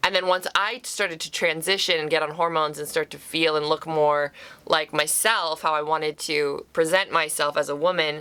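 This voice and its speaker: A woman speaks at a moderate pace with hardly any pauses, her pitch very deep and low. Her tone is bright and sharp, and her intonation fairly even. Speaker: YouTuber and actor. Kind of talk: personal vlog. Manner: casual, conversational with fillers.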